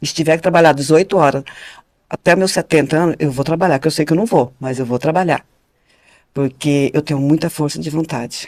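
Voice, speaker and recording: Her very deep, low-pitched voice moves at a fairly quick pace as this woman talks. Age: 60s. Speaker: podcast guest. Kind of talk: casual chat. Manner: animated.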